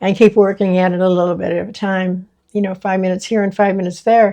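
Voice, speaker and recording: A woman's voice, relaxed and dark and mellow, stays at medium pitch with monotone, flat intonation. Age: 70s. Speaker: DIY vlogger. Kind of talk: casual vlog talk to camera. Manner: relaxed, hesitant with fillers.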